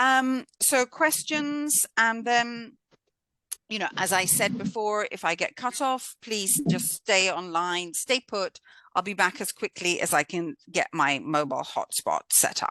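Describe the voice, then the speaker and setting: A woman with a British accent speaks at a fairly high pitch and a fairly slow pace, in a bright, sharp tone. Her pitch swings very widely, and the sound is dry and close with no echo. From Britain. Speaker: course instructor. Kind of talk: online lecture. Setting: video call.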